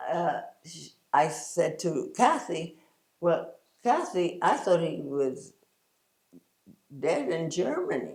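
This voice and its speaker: Very slow female speech in audible room echo. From US Northeast, New York City, Puerto Rican parents. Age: 90s. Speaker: pilates teacher and former ballet dancer. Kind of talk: interview. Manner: halting, many fillers.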